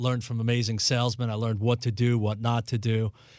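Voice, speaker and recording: In an American accent, a man with an ordinary speaking voice talks fairly quickly at a medium pitch on a very clean recording with a silent background. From New York City, Brooklyn. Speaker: financial advisor and radio host. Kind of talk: radio talk show on investing.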